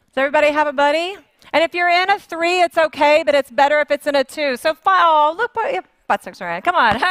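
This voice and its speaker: A high-pitched woman with an American accent at a fairly quick pace, in a dry, close sound with no echo. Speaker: conference facilitator. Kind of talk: facilitating a group exercise at a conference. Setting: stage with live audience. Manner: conversational, with fillers.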